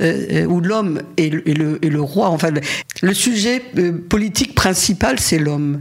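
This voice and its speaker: Against noticeable background noise, the speaker moves at a very slow pace with lively intonation. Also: woman. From Paris region, France. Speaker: feminist activist. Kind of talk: interview. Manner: halting.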